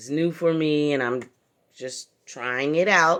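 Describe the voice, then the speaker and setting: Speaking very slowly in an American accent, a woman has a very deep, low pitch and ordinary pitch variation on a very clean recording with a silent background. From San Francisco Bay Area, California. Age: 50s. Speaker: crafter vlogger. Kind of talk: casual chat. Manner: halting.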